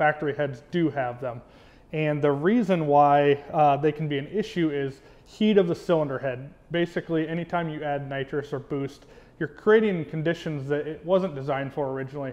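Speaking at a moderate pace, a man's pitch varies in an ordinary way. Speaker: presenter. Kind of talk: product explainer. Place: workshop.

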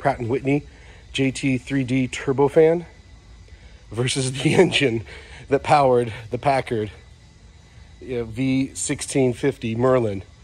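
Speech moves at a moderate pace. The pitch varies in an ordinary way. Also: man. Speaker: museum visitor vlogger. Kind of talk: casual walkthrough commentary. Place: hall. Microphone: phone near.

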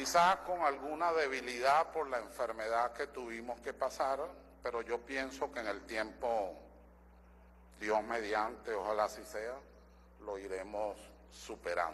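A man's fairly slow delivery with vocal fry, ordinary pitch variation and long, frequent pauses over light background noise. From Venezuela. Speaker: constitutional lawyer and assembly member; constitutional lawyer. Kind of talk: parliamentary speech. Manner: formal. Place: hall. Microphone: podium.

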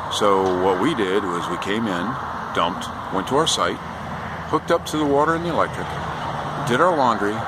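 Over clear background noise, a man talks at a moderate pace with a fairly low pitch and lively intonation.

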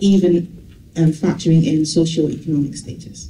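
Delivered at a moderate pace, the speech comes with light background noise and audible room echo. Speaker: presenter. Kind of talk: conference presentation. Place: hall.

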